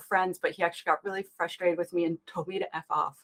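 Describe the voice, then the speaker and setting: A woman with a Canadian accent and fairly low pitch talks very fast, in a dry, close sound with no echo. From Canada. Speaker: application security expert and public speaker. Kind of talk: interview. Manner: animated.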